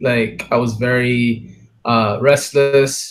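A man with an English accent, music in the background. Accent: English-sounding. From Kenya, partly raised abroad. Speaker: musician and multidisciplinary artist. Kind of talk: casual chat.

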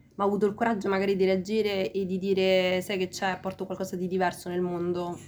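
A woman's medium-pitched voice at a very fast pace, monotone and flat in intonation. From Rome, Italy (Peruvian-born, arrived as a child). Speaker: teacher and languages graduate. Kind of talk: interview. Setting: ice cream shop.

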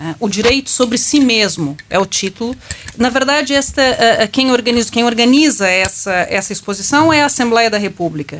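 A woman with a fairly high pitch talks at a moderate pace with lively intonation. It is an ordinary speaking voice. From Brazil. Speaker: law professor. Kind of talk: panel discussion.

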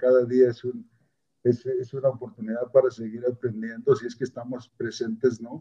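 A somewhat breathy man's voice at a medium pitch, moderate pace, and ordinary pitch variation. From Mexico, southern Puebla (Mixteca region). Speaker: forestry scientist. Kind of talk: interview. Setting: at home, remote. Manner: halting, many repetitions.

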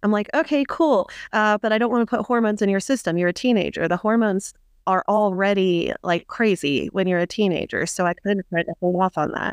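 In a dry, close recording with no echo and a quiet background, a woman speaks in an ordinary speaking voice at a fairly quick pace, her medium pitch showing ordinary variation and her loudness very even. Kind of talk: casual interview.

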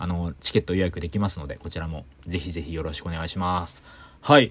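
In a very clean recording with a silent background, a man talks very fast in a very deep, low voice. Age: 30s. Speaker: singer-songwriter and podcast host. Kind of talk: casual solo chat. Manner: animated.

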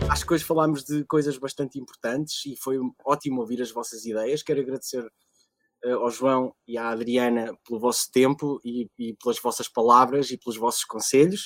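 A man speaks in an unremarkable speaking voice at a medium pitch with fairly even intonation. The sound is dry and close, with no echo. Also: moderate pace. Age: 30s. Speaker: podcast moderator and musician. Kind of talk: panel moderation.

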